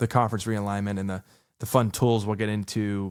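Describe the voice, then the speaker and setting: A man with a fairly low pitch and fairly even intonation on a very clean recording with a silent background. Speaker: sports podcast host. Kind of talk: solo podcast talk. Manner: casual, halting with fillers.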